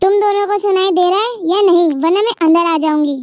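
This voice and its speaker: A woman's put-on character voice at an extremely high pitch, with very even loudness and a fairly quick pace. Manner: shouting.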